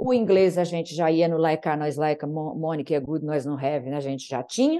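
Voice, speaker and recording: Ordinary pitch variation in a dark, mellow tone, delivered at a fairly quick pace. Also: woman, very deep, low pitch for a woman. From Brazil. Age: 50s. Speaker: naturopath and podcast guest. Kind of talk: interview conversation.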